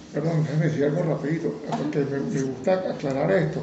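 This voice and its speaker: A man talks at a moderate pace. Audible room echo and noticeable background noise come through. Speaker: lawyer and amateur photographer. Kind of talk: interview.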